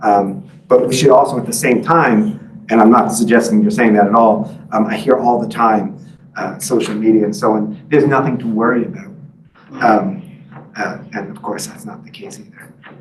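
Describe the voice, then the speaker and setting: In an American accent, a man at medium pitch speaks at a moderate pace with very wide pitch swings and big swings in loudness, with audible room echo. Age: 50s. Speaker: author and journalist. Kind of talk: book talk with Q&A. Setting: library talk with live and Zoom audience. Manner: halting, many fillers.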